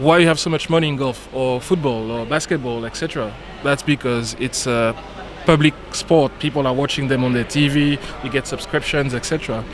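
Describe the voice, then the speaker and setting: With a French accent, a man talks at a fairly quick pace and a fairly high pitch with fairly even intonation over noticeable background noise. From French Caribbean island. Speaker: billiards industry guest. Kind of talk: casual chat during live commentary.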